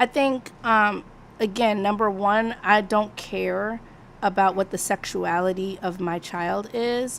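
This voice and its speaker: On a very clean recording with a silent background, a woman of medium pitch speaks at a very slow pace with fairly even intonation. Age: 40s. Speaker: live stream discussion host. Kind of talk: casual moderated discussion.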